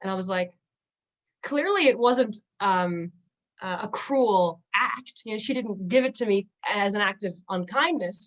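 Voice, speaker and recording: A woman with a Newfoundland accent, at a fairly high pitch with ordinary pitch variation. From Newfoundland, Canada. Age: 20s. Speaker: musician and linguist, person who stutters. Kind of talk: podcast interview. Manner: stutter.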